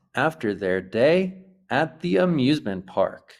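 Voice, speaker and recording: On a very clean recording with a silent background, a man with an American accent speaks at a very slow pace in a fairly high pitch, with very wide pitch swings and vocal fry. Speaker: English teacher. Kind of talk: English lesson to camera. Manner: slow, clear.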